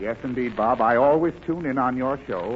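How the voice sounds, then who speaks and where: A man with an ordinary speaking voice talks at a fairly quick pace, his medium pitch showing ordinary pitch variation. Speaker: guest star actor. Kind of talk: radio comedy sketch. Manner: prim, fussy, flustered, comedic.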